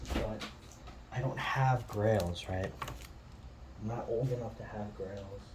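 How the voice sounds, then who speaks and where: Over noticeable background noise, the speech moves at a very slow pace with long, frequent pauses. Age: young. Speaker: comic book collector. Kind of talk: casual video commentary. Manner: halting, many fillers.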